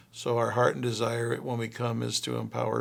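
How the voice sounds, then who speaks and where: Vocal fry runs through this man's very deep, low pitch. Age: 60s. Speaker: pastor. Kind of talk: promotional self-introduction.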